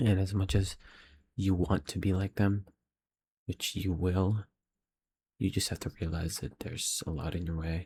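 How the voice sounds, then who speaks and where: Somewhat breathy speech at a moderate pace with fairly even intonation and long, frequent pauses, on a very clean recording with a silent background. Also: man, very deep, low pitch for a man. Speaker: aspiring filmmaker vlogger. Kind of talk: casual video diary. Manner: halting.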